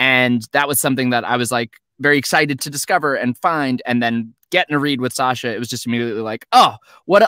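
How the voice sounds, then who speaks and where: A man speaks in a bright, sharp tone, recorded dry and close with no echo. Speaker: voice actor. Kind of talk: casual panel chat. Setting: video call.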